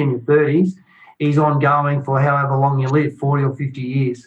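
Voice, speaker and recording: Here a man talks at a moderate pace in an Australian accent. His fairly high voice is somewhat breathy. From Australia, Shepparton, Victoria. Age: 50s. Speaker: retired football player. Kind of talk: casual chat.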